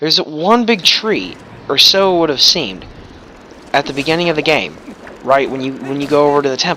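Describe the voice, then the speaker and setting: Speaking at a fairly quick pace with lively intonation, a man with a fairly high pitch for a man leaves long, frequent pauses over noticeable background noise. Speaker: let's play gamer. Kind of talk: gameplay commentary. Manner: loud.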